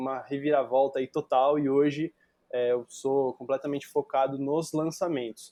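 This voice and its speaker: A man talks at a moderate pace in a São Paulo accent. His pitch is fairly high. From Brazil, São Paulo. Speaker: digital marketer, guest. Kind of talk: podcast interview. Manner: casual, with many filler words.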